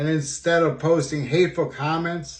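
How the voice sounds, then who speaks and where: The speaker talks at a fairly slow pace in a somewhat breathy voice. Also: man. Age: 60s. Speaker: student. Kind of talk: personal video monologue. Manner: halting, many fillers.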